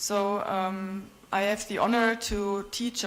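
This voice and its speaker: The speaker has a German accent. Intonation stays fairly even. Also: woman. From Germany, Bavaria. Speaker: visiting professor. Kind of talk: conference presentation. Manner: hesitant, many fillers.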